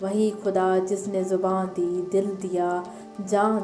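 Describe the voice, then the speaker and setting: Over music in the background, a woman at medium pitch speaks with a monotone, flat intonation. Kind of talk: poetry reading.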